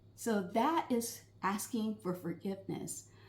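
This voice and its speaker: A woman speaks in a fairly high voice. Noticeable background noise runs behind her. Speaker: marriage counselor. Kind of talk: advice talk. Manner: choppy.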